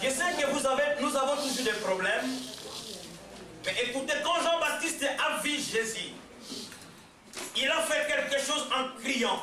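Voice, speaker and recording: Shouting in a raised, projected voice with a Congolese accent, the speaker keeps a very even loudness and ordinary pitch variation, with long, frequent pauses. Noticeable background noise and audible room echo fill the recording. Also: man, extremely high pitch for a man. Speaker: visiting preacher. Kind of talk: sermon. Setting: church service. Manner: loud, shouting; halting, repeats words.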